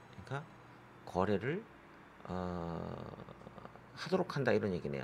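Very wide pitch swings and vocal fry in a man's voice. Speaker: English exam tutor. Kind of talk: lecture.

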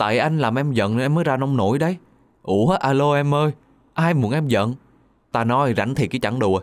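A man speaks at medium pitch and a moderate pace, with ordinary pitch variation. His loudness stays very even, broken by long, frequent pauses. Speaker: radio narrator reading listener stories. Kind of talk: reading aloud.

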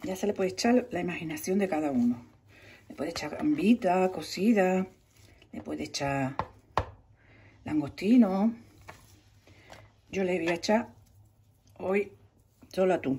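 Speaking at a fairly slow pace with long, frequent pauses, a woman uses a fairly low pitch, a dark, mellow tone with a husky, rough edge, and lively intonation.

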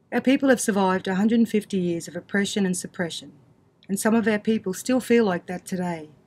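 A woman speaks at a fairly quick pace with a somewhat breathy voice and ordinary pitch variation. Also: medium pitch for a woman. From Queensland, Australia (Mackay); Queensland, Australia. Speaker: community storyteller. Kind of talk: personal testimony. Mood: earnest, storytelling. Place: studio.

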